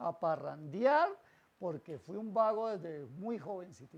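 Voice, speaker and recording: The speaker is a man. His pitch is high. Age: 60s. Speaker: pastor. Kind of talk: sermon.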